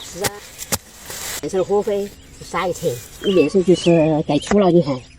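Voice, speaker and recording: Over noticeable background noise, a woman talks at a moderate pace with a Sichuan accent. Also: fairly low pitch for a woman, ordinary pitch variation. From Sichuan, China. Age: 80s+. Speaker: farmer. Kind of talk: casual talk while farming.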